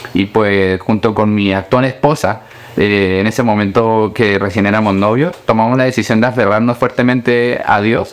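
A man speaks at a moderate pace with a fairly low pitch, fairly even intonation and very even loudness. Noticeable background noise is present. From Colombia, then Chile from age 11. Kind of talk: interview.

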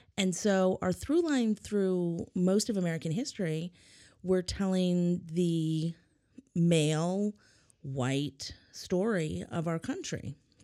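With a dark, mellow tone and a fairly low pitch, a woman speaks at a very slow pace with ordinary pitch variation. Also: very clean recording, silent background. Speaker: history teacher. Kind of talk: casual chat. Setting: studio.

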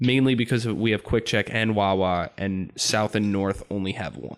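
Pitch varies in an ordinary way while the speech keeps a moderate pace. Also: man. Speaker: podcast guest, friend of the hosts. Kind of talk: casual chat.

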